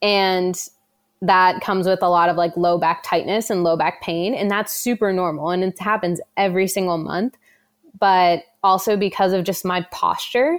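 Using an ordinary speaking voice, a woman talks at a medium pitch with fairly even intonation. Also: moderate pace. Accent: American. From US, New Jersey. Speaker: professional runner. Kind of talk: interview, casual.

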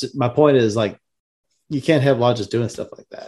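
With ordinary variation in his pitch, a man talks in a medium register. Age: young. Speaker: podcast host, Freemason. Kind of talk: casual interview.

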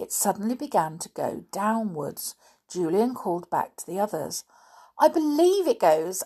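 Someone is engaged in plain reading aloud.

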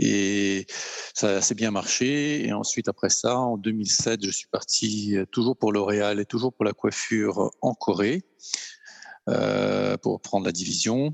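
The intonation is fairly even. This man delivers his words very slowly. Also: fairly low pitch for a man. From France. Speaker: luxury goods executive. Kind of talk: casual interview. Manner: hesitant, many fillers.

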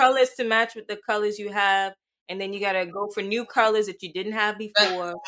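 Her tone is bright and sharp, at a medium pitch and fairly quick pace. This woman's intonation stays fairly even while her loudness swings widely. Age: 20s. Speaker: podcast co-host. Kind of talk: casual chat.

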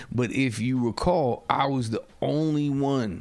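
Music plays behind a man speaking with an American accent. His tone is animated and his intonation lively. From New Jersey. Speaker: podcast host. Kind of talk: casual chat.

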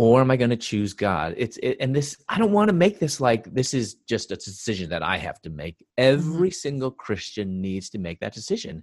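With an American accent, a man speaks at a medium pitch, his voice swinging very widely up and down. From US Midwest, Chicago. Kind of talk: interview.

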